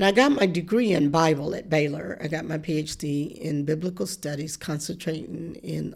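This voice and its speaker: In a Southern US accent, a woman speaks at a moderate pace with a fairly low pitch and ordinary pitch variation, in a very clean recording with a silent background. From US South, rural deep south. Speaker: professor and preacher. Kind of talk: interview.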